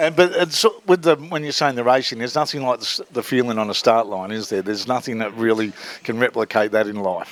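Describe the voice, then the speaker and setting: In an Australian accent, a man speaks very fast at a medium pitch with lively intonation. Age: 60s. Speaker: motorsport interviewer. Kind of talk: casual interview. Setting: garage at racetrack.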